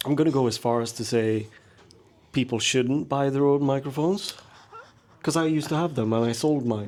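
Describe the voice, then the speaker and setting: With long, frequent pauses, a man talks at a medium pitch with ordinary pitch variation over noticeable background noise. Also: fairly quick pace. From Sweden. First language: Swedish. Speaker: podcast host, maker. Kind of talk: casual chat. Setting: back room of a pub.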